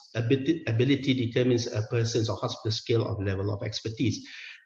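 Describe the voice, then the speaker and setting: This man's voice is somewhat breathy. He talks at a fairly quick pace. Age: 50s. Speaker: senior anaesthetist giving a medical talk. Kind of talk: conference lecture. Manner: hesitant, many fillers.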